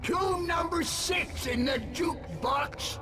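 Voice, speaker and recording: Shouting in a put-on character voice, a man speaks at a fairly slow pace over loud background noise. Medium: machinima. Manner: teasing.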